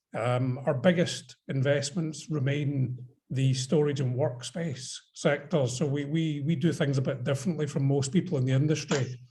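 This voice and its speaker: A man with a Scottish accent speaks at a moderate pace in a fairly high pitch, his tone dark and mellow, somewhat breathy, with fairly even intonation. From Scotland. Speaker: investor. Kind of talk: panel discussion on video call. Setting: video call.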